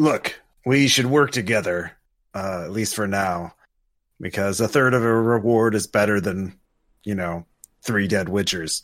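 A man puts on a raspy character voice, fairly low in pitch, at a moderate pace with long, frequent pauses. The recording is very clean, with a silent background. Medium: actual play. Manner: dry, matter-of-fact.

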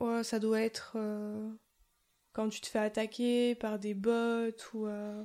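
A woman with a southern French accent and a fairly high pitch speaks at a very slow pace with long, frequent pauses. Her tone is dark and mellow, and her intonation is monotone and flat. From southern France. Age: 20s. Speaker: streamer. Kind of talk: casual chat.

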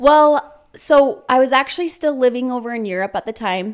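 A woman speaks with an American accent and lively intonation in a normal speaking voice. The recording is very clean with a silent background. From Utah. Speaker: entrepreneur. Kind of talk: interview.

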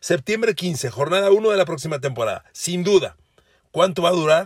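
An animated man speaks at a high pitch, recorded dry and close with no echo. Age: 60s. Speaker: sports podcaster. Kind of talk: sports analysis monologue.

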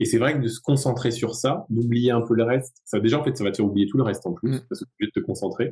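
At a very fast pace, a man talks in a somewhat breathy voice of medium pitch. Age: 40s. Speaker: ultra runner and yoga teacher. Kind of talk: casual chat. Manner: halting.

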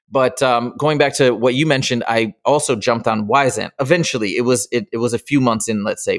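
A man's normal speaking voice at medium pitch, fairly quick and with hardly any pauses, with ordinary pitch variation. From Michigan. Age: 40s. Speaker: tutoring business founder. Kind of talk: casual interview.

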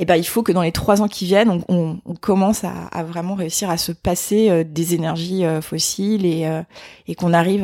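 A woman talks at a moderate pace. Her pitch is fairly low, and her intonation fairly even. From France, Vosges. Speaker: sustainability trainer. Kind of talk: interview. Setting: in person. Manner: hesitant, many fillers.

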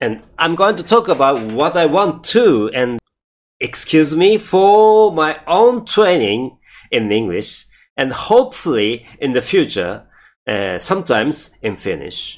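Using a Japanese accent, a man with a fairly high pitch speaks at a fairly slow pace with very wide pitch swings. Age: 50s. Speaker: podcaster. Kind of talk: scripted-style podcast trailer, self-introduction. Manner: halting, hesitant with fillers.

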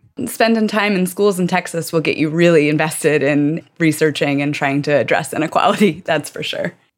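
A plain, everyday voice at a fairly quick pace, with hardly any pauses and ordinary pitch variation. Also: woman, fairly low pitch for a woman. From rural Virginia, US South. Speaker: doctoral student and researcher. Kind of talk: casual chat.

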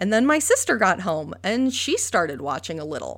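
Moderate-paced speech from a woman with an American accent, very clean recording, silent background. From upstate New York. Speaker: podcast host. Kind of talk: personal monologue.

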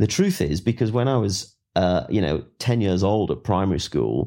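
A man with a fairly low voice and vocal fry speaks at a moderate pace, in a very clean recording with a silent background. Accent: English. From England. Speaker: writer, former soldier and explorer. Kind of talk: interview.

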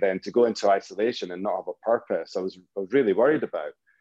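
In a dry, close sound with no echo, a man with a Scottish accent talks very fast at a medium pitch. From Scotland, Fife. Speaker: drinks entrepreneur. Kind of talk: casual chat.

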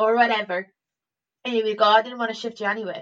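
A woman talks at a fairly quick pace in an Irish accent. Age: 30s. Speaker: comedian. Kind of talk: casual chat. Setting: remote call over the internet.

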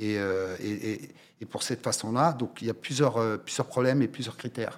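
A man speaks at a moderate pace in a medium pitch with ordinary pitch variation, on a very clean recording with a silent background. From France, Paris suburbs (Val-d'Oise), Moroccan family from Oujda. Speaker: cinema logistics business owner. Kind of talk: interview. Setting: studio. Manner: halting, many repetitions and fillers.

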